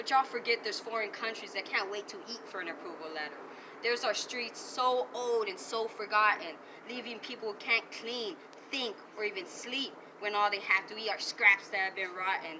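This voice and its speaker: An American accent at a moderate pace, with ordinary pitch variation, big swings in loudness and noticeable background noise. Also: woman, fairly high pitch for a woman. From Arizona border region. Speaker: spoken word poet. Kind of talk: spoken word poetry performance. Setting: outdoors.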